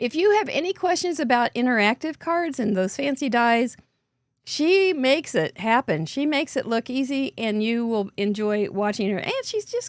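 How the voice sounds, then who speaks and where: A squeaky voice with very wide pitch swings comes through a very clean recording with a silent background and a dry, close sound with no echo. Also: woman. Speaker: livestream co-host for a card-making show.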